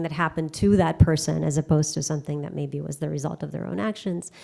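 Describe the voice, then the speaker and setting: A woman's very deep, low voice with a dark, mellow tone. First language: Russian. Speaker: keynote speaker on language and cognition. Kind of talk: lecture Q&A.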